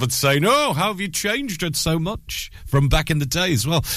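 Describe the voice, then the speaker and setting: Amid noticeable background noise, a man with a Lancashire accent talks at a fairly quick pace. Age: 30s. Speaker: radio breakfast DJ. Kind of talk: local radio breakfast DJ patter, time checks, travel news and chatty song links. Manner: upbeat, chatty and informal, filler-heavy with frequent uhs; quick, breezy flow of time checks and trails.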